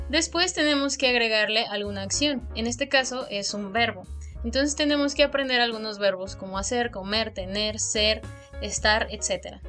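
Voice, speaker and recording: Someone speaks with a Mexican accent while music plays in the background. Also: woman, moderate pace. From Mexico. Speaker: language learning youtuber. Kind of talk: educational talk to camera.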